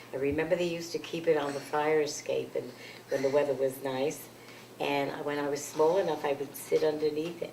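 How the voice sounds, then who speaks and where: Monotone and flat, a voice in a New York accent moves at a fairly quick pace over noticeable background noise. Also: woman, very deep, low pitch for a woman. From New York City. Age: 80s+. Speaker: grandmother interviewed by family. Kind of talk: oral history interview. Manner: halting.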